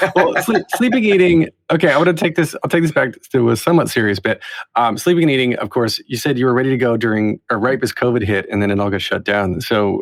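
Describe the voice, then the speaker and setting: A man's medium-pitched voice, very fast, with very wide pitch swings. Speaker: podcast host. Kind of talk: interviewer questions on a podcast.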